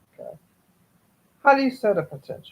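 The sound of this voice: Her pitch sits fairly high. This woman speaks with lively intonation.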